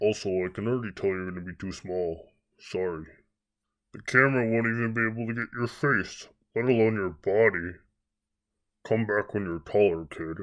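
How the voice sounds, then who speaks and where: A man's cartoonish character voice, fairly low, at a moderate pace with long, frequent pauses over a quiet background. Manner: curt, dismissive.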